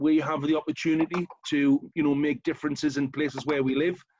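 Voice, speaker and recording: This man talks fairly quickly with a northern English accent, his fairly high pitch held to a fairly even intonation, the sound dry and close with no echo. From northern England, County Durham. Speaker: local councillor. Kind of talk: short talk at online event.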